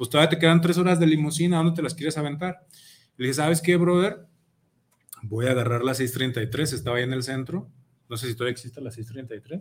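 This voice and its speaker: Speaking at a fairly quick pace, a man with a fairly high pitch sounds somewhat breathy, with ordinary pitch variation. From Mexico, Zapopan (Guadalajara area). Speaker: reggae musician, band leader. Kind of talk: casual interview. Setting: radio studio.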